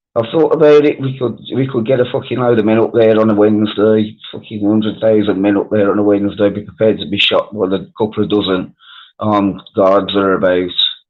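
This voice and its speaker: A man with a Birmingham accent, fairly low in pitch, fairly even in intonation, at a fairly quick pace with hardly any pauses. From Wales. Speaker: live stream panelist. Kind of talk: casual chat.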